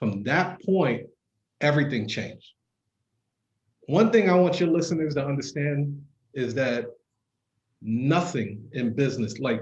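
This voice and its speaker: Somewhat breathy and medium in pitch, a man with a New York accent speaks at a moderate pace with ordinary pitch variation. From Brooklyn, New York. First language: not English. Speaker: entrepreneur. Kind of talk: casual interview. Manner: casual, profane.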